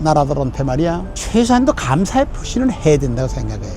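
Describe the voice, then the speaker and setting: Over music in the background and audible room echo, a man talks at a very fast pace with ordinary pitch variation. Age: 90s. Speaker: war veteran and former minister. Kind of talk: on-location interview. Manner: emphatic.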